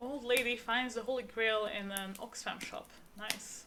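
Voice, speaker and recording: A woman speaks loudly in a high pitch, her tone bright and sharp. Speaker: streamer reading books aloud. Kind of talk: casual chat; reading aloud. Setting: live stream.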